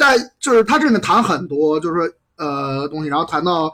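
This man talks at a fairly quick pace. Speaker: comedy club organizer. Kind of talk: casual chat.

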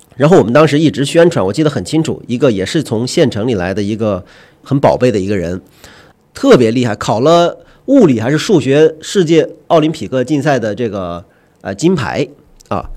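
A man talks at a fairly quick pace, his pitch medium with very wide swings. His tone is dark and mellow. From Huanggang, Hubei, China. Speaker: magazine editor. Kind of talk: casual discussion.

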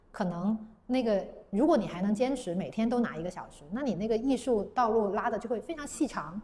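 A woman's normal speaking voice at a fairly high pitch, with big swings in loudness. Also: lively intonation. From southern China, Guangzhou. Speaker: paper-cut artist. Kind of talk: interview conversation.

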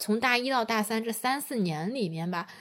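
With an ordinary speaking voice and lively intonation, a woman talks at a fairly quick pace on a very clean recording with a silent background. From Taiyuan, Shanxi, China. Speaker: podcast co-host. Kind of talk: casual chat.

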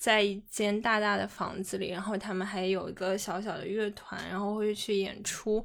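A woman speaks in a flat monotone at medium pitch and a moderate pace, with hardly any pauses. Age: young. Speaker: podcast co-host. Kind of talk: casual chat.

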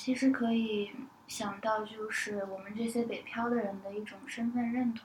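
At a moderate pace, a woman with a fairly high pitch speaks in a monotone, flat intonation. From Northeast China. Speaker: film buyer. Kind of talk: casual discussion podcast.

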